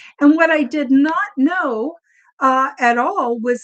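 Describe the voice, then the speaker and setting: A woman's high-pitched, very slow speech with lively intonation. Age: 70s. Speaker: author and experiencer of extraterrestrial contact. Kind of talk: interview testimony.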